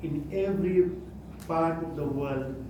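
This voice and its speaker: The speaker has a Gujarati accent, and the clip carries audible room echo and noticeable background noise. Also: man. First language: Kutchi. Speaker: lay religious speaker. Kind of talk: religious talk. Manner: halting.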